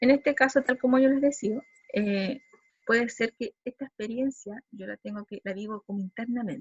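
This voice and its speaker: This woman's voice is high-pitched. Her pitch varies in an ordinary way. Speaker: psychology lecturer. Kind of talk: lecture. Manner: fast.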